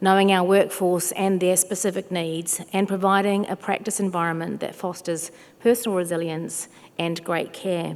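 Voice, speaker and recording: A woman speaks with a slight English accent at a moderate pace. Her medium pitch stays monotone, with flat intonation. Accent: slight English twang. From New Zealand, South Auckland. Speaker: chief nurse and health executive. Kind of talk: conference speech. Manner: formal.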